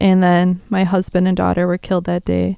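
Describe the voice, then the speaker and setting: With a Wisconsin accent, a woman speaks in a dark, mellow tone. Her intonation is monotone and flat. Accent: Upper Midwest (Wisconsin). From Wisconsin, south of Green Bay. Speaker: survivor of a shooting sharing her story. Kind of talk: testimony. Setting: studio.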